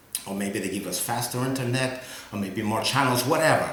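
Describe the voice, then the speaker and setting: Someone with a non-native accent talks at a fairly quick pace, with noticeable background noise and audible room echo. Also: man. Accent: foreign accent, from across the Atlantic. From Europe. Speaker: local board candidate. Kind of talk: campaign address. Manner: halting, many fillers; casual, conversational.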